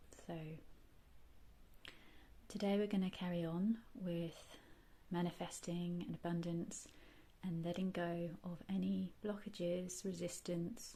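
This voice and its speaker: A somewhat breathy, dark, mellow voice with a gentle tone moves at a very slow pace with fairly even intonation. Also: woman. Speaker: reiki and ASMR guide. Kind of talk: guided meditation / healing session. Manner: soft, gentle, calming.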